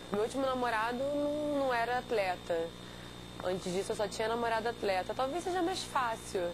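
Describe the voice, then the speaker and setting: The intonation is lively and the loudness very even, with noticeable background noise behind the voice. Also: woman, fairly high pitch for a woman, moderate pace. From Rio de Janeiro, Brazil. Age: 20s. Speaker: competitive swimmer. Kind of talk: interview.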